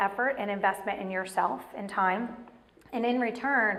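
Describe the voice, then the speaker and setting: There is audible room echo as a woman talks with fairly even intonation. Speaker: motivational speaker. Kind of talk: motivational talk. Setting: stage with audience. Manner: fast.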